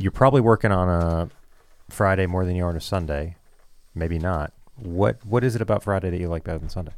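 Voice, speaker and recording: The voice moves at a very fast pace with ordinary pitch variation, on a very clean recording with a silent background. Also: man, very deep, low pitch for a man. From Canada. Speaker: college radio host. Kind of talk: casual chat, game show banter. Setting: studio.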